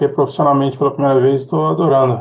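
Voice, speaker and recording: A man with a Rio de Janeiro accent speaks at a medium pitch in a somewhat breathy voice. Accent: carioca. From Rio de Janeiro, Brazil. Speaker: tech professional. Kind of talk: interview. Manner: halting, repeats words.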